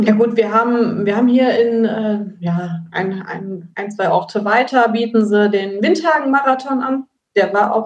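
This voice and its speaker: Here is a woman with an ordinary speaking voice, pitched fairly high. She talks at a fairly slow pace with ordinary pitch variation. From Germany, Rhineland between Siebengebirge and Westerwald. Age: 30s. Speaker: amateur trail runner, race winner. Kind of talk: podcast interview.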